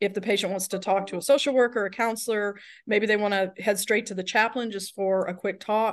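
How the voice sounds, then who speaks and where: This woman has a medium pitch and speaks with an Alabama accent. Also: quiet background. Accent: Southern US (Alabama). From Alabama, US South. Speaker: nurse and healthcare director. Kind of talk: interview conversation.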